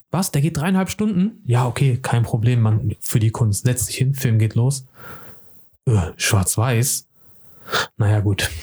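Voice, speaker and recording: This man talks at a very slow pace with long, frequent pauses, his medium-pitched voice somewhat breathy with a dark, mellow tone and lively intonation. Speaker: podcast host, film person. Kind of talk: casual chat. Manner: animated.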